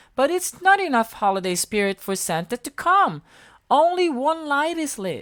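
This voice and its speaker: This is a put-on character voice, high-pitched with very wide pitch swings. The pace is moderate. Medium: read story.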